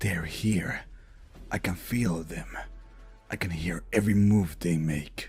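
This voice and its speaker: With clear music in the background, a man does a put-on character voice, very deep and low, at a fairly slow pace. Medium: audio drama. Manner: brash, cold.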